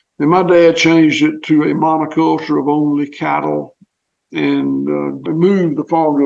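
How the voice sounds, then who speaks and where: A man with a Southern US accent at a moderate pace. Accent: Southern US (Georgia). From US South (southwest Georgia, Clay County). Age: 60s. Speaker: farmer. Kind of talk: interview.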